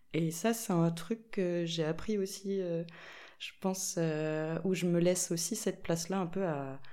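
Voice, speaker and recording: A woman talks at a very slow pace with a dark, mellow tone. Her pitch is fairly low and her intonation fairly even. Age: 20s. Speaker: linocut printmaker. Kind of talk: casual chat. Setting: in-person recording in an echoey room.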